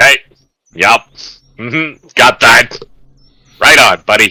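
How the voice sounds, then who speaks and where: Putting on a character voice, a man speaks fairly slowly at a fairly high pitch in a dry, close sound with no echo. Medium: actual play. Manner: casual, hesitant.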